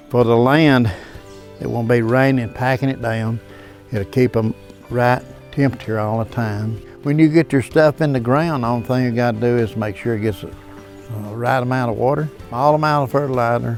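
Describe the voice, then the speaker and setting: A man with an American accent speaks at a moderate pace and medium pitch, his intonation fairly even, with long, frequent pauses and music in the background. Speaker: farmer. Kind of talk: interview answer. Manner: gentle.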